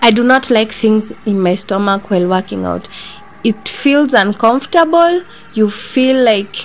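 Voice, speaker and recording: Music plays in the background. The delivery is fairly slow, with lively intonation. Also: woman. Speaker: fitness vlogger. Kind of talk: casual vlog chat. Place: home room.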